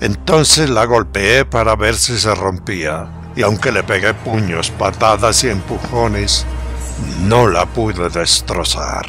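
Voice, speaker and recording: Over music in the background, a voice moves at a very slow pace with very wide pitch swings. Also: man. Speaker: storyteller. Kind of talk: horror story narration.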